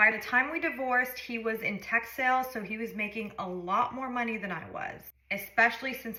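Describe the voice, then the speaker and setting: Over noticeable background noise, a woman with a fairly high pitch talks at a fairly quick pace. She has ordinary pitch variation and hardly any pauses. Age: 30s. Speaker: lifestyle vlogger. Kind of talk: storytime monologue.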